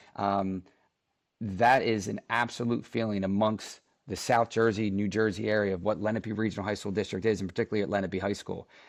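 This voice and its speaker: In front of a quiet background, a man talks at a fairly quick pace with a fairly low pitch. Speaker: high school principal. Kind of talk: podcast interview. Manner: fast; animated.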